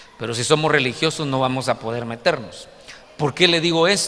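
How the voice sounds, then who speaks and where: A man with a fairly high pitch talks at a moderate pace with ordinary pitch variation. Room echo is audible. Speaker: pastor. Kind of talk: sermon.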